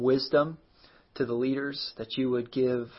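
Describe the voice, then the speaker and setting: A man speaks at a medium pitch with a warm tone. His intonation is monotone and flat. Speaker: pastor. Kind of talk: fervent intercessory prayer. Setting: live stream on social media. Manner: earnest, pleading, heartfelt; warm, casual, conversational.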